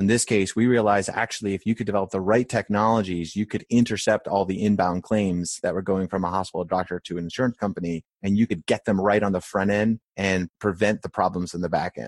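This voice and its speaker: A man with an American accent talks at a very fast pace, with hardly any pauses and fairly even intonation. The sound is dry and close with no echo, over a quiet background. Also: fairly low pitch for a man. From rural Maine, US. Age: 40s. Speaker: restaurant chain CEO. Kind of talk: interview conversation.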